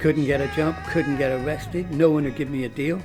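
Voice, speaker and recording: Over music in the background, a man speaks with a Welsh accent and ordinary pitch variation. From Cardiff, South Wales. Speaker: musician, singer. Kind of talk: interview answer.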